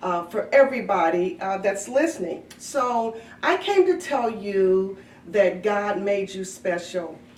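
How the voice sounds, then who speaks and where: A woman speaks in a warm, upbeat tone with lively intonation. Noticeable background noise is present. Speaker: daycare director. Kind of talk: casual talk to children.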